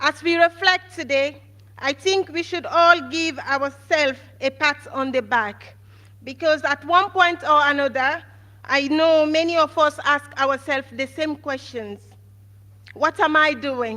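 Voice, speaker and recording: A woman's raised, projected voice, high-pitched with a bright, sharp tone, at a fairly slow pace. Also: ordinary pitch variation. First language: not English. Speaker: valedictorian nursing graduate. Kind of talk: graduation speech. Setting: stage with audience. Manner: formal.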